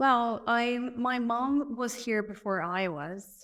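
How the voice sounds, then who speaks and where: A woman with a Portuguese accent and lively intonation, on a very clean recording with a silent background. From Brazil. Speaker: podcast guest sharing life story. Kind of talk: interview. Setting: guest's home.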